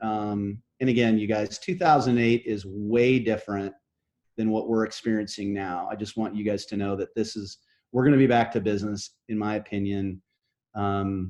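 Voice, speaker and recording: Against a quiet background, a man with an ordinary speaking voice talks at a moderate pace. His pitch is fairly low and his intonation fairly even. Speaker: real estate brokerage manager and coach. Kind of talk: interview.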